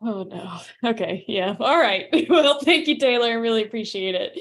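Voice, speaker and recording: A woman with an American accent speaks at a moderate pace. Her pitch swings very widely. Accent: slight Southern, mostly suppressed. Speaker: community meeting host. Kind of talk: casual chat.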